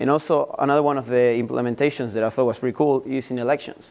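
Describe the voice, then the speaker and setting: Very fast and at a medium pitch, a man with an Argentine accent keeps his intonation fairly even. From Argentina. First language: Spanish. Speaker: university student. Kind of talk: class presentation. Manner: halting.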